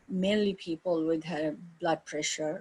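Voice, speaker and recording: A woman speaks with an Indian accent at a moderate pace. Her fairly low pitch comes through in a dry, close sound with no echo. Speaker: yoga teacher. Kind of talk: interview. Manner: halting.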